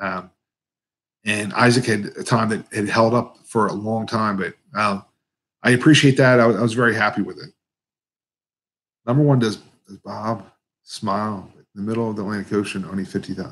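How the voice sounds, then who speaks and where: A man's fairly quick, mumbling speech with an American accent, fairly low pitch, long and frequent pauses, and big swings in loudness. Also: fairly even intonation. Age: 50s. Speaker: competitive eater and YouTuber. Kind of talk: live Q&A stream. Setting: live stream. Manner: mumbling, words blended together; casual, halting with fillers.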